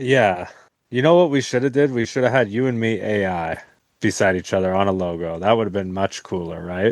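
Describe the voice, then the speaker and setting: A man with a plain, everyday voice talks at a fairly quick pace, his pitch fairly low with ordinary variation. The background is quiet. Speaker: podcast co-host. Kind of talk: casual chat.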